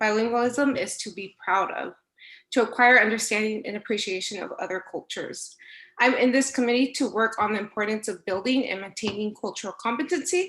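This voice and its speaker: This woman talks at a fairly quick pace with a Spanish accent. Her pitch is fairly high, with ordinary variation, against a quiet background. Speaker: instructional assistant. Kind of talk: prepared speech at board meeting.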